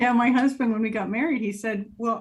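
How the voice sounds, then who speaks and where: This is a woman speaking with an American accent. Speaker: interviewee, college-educated professional. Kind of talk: interview. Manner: casual, chatty with fillers.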